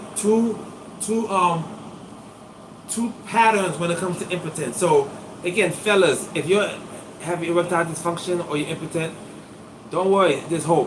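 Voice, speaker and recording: With audible room echo and noticeable background noise, a man speaks at a moderate pace in a high, animated voice with ordinary pitch variation. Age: 50s. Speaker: acupuncturist. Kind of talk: live stream demonstration. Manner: casual, animated.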